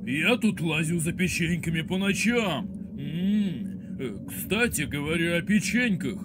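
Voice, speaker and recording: Over loud background noise, a man in a cartoonish character voice talks at a high pitch and a moderate pace, with long, frequent pauses. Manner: cheerful, simple, greedy for sweets.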